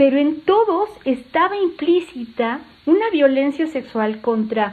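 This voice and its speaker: A woman's voice with lively intonation. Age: 60s. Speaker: doctor and sex educator. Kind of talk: podcast interview. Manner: animated.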